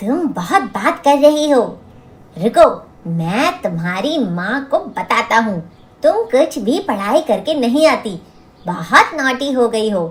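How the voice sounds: Doing a cartoonish character voice, a man speaks slowly at an extremely high pitch with a fairly bright tone and big pitch swings.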